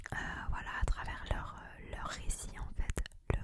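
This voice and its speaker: A woman whispers very slowly, with noticeable noise in the background. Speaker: ASMR content creator. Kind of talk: ASMR whispered gift-ideas talk to camera. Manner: whispered, soft, relaxing.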